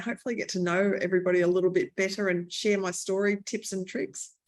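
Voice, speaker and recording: A woman with an Australian accent speaks at medium pitch and a very fast pace. Her intonation is monotone and flat. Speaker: author and short-term rental entrepreneur. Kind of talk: interview. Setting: video call.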